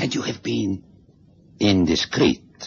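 A man puts on a character voice with a fairly low pitch, a slow pace, a husky, rough edge, lively intonation and vocal fry.

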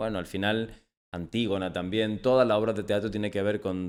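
A man speaks in a normal speaking voice, fairly low in pitch with fairly even intonation. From Almería, Andalusia, Spain. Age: 40s. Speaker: playwright. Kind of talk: casual chat.

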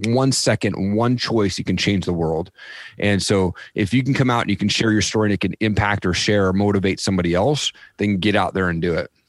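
Heard on a very clean recording with a silent background, a plain, everyday voice with an American accent moves at a fairly quick pace, with very even loudness and ordinary pitch variation. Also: man, fairly low pitch for a man. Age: 40s. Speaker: podcaster and former addict sharing life story. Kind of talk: interview testimony. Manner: casual, repetitive fillers.

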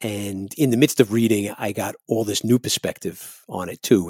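Recorded very cleanly against a silent background with a dry, close sound and no echo, a man with an American accent speaks at a fairly low pitch with fairly even intonation. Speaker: singer and keyboardist in a ska band. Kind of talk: casual interview chat. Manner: casual, conversational.

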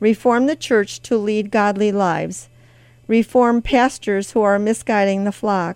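A woman with an American accent talks in an unremarkable speaking voice at medium pitch with fairly even intonation. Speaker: radio host. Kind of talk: prayer; scripted devotional reading. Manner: fervent; solemn.

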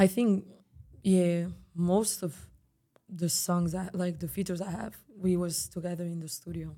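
Dark and mellow in tone, this voice has a Spanish accent and moves at a moderate pace with fairly even intonation and long, frequent pauses. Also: woman, fairly low pitch for a woman. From Spain, Barcelona. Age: 20s. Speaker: singer. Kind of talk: casual interview. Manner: calm; soft-spoken.

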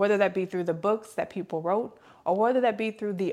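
A woman's plain, everyday voice at medium pitch, with ordinary pitch variation and a fairly quick pace, on a very clean recording with a silent background. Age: 20s. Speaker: faith podcast host. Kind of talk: devotional teaching monologue. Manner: conversational, with filler words.

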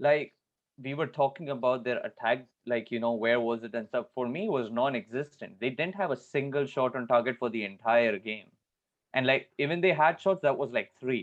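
This man has an unremarkable speaking voice at a medium pitch. His pitch varies an ordinary amount. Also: moderate pace. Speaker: football podcast panelist. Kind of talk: casual chat.

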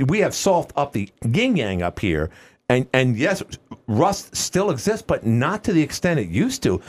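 A man with an American accent, fairly high pitch, very wide pitch swings, vocal fry, an animated tone and a moderate pace. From New York. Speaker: radio host. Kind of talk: casual interview. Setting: radio studio.

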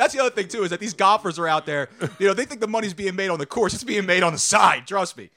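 The voice is raised and projected, bright and sharp, delivered at a very fast pace. Its loudness swings widely while its pitch varies in an ordinary way. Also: man, high pitch for a man. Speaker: sports media personality. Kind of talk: casual chat. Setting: studio.

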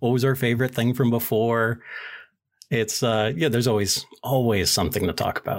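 Over a silent background on a very clean recording, a man with a plain, everyday voice at medium pitch talks at a fairly quick pace with very even loudness and fairly even intonation. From US Northeast. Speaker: podcast host, guest. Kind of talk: casual chat.

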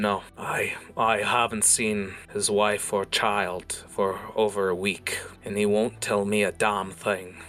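Over music in the background, a man uses a put-on, gruff character voice with a fairly low pitch at a fairly slow pace. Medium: actual play. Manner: gruff, cursing.

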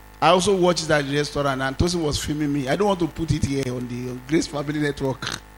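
Speaking at a very fast pace with hardly any pauses, a man uses a fairly high pitch and an animated tone. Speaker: pastor. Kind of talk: sermon. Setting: church.

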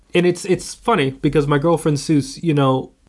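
In a plain, everyday voice, a man speaks at a fairly quick pace with fairly high pitch and ordinary pitch variation. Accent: American. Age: 20s. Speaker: film student and horror fan. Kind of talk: casual chat. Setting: in-person recording in an office, one shared microphone.

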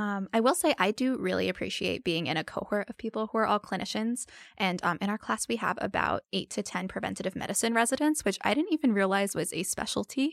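Very fast speech from a woman at medium pitch, with vocal fry and lively intonation, dry and close with no echo, on a very clean recording with a silent background. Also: hardly any pauses. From New Jersey. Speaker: medical student. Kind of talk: interview.

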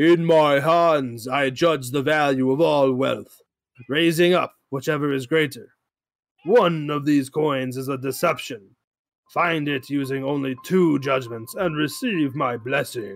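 In a booming, put-on character voice, a man talks at a fairly slow pace, fairly high in pitch, with ordinary pitch variation. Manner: commanding, grand.

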